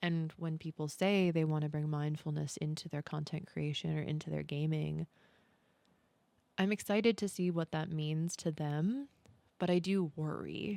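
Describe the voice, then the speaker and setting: A soft-spoken woman talks at a moderate pace in a very deep, low pitch. The recording is very clean with a silent background. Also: fairly even intonation. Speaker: content creator, podcast host. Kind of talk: podcast-style talk to camera.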